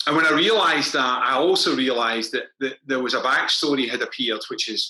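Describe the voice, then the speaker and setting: A man speaks in a Scottish accent at a fairly quick pace. He leaves hardly any pauses. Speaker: crime novelist. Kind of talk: author interview at book launch. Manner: fast.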